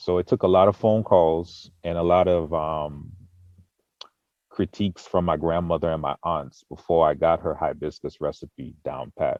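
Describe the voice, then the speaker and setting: The speaker has an American accent, a moderate pace and fairly even intonation. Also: man, very deep, low pitch for a man. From Boston, Massachusetts. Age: 30s. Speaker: mead maker. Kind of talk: interview.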